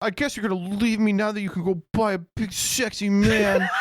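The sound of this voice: In a put-on character voice, a female-sounding speaker whines at a medium pitch and moderate pace with a whiny, sad tone.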